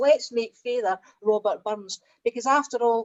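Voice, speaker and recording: High-pitched woman with a Scottish accent and ordinary pitch variation. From Scotland. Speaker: translator. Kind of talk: panel discussion.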